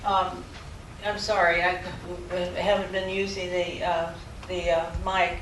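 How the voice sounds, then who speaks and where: Noticeable background noise and audible room echo fill the recording. Through it, a woman talks very slowly. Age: 70s. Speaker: professor. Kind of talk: lecture. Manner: halting.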